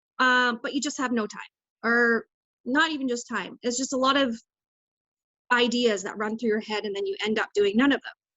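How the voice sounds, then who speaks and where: Pitched high, a woman's voice shows ordinary pitch variation. She moves at a moderate pace with long, frequent pauses. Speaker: direct sales team leader. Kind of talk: business training talk. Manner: halting, many fillers.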